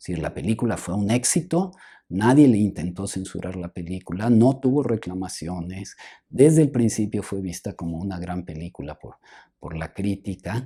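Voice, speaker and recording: A soft-spoken man with a dark, mellow tone and fairly low pitch talks at a moderate pace with lively intonation and big swings in loudness. The recording is very clean, with a silent background. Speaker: film historian and professor. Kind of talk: interview conversation. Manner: hesitant, halting.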